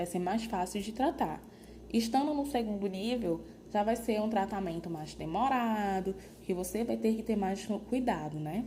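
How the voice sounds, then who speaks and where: A woman with ordinary pitch variation, audible room echo around her voice. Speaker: nursing lecturer. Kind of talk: lecture.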